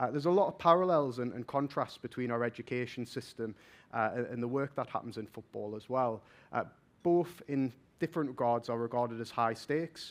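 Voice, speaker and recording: Speaking at a fairly quick pace, a man with a Geordie accent holds a medium pitch with ordinary pitch variation. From northern England, Newcastle. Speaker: vocational assessment innovation manager. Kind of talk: conference talk. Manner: fast.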